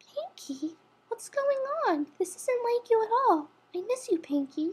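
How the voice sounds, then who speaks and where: A woman puts on a squeaky character voice at an extremely high pitch, swinging very widely up and down. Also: moderate pace. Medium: read story. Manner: soft, gentle.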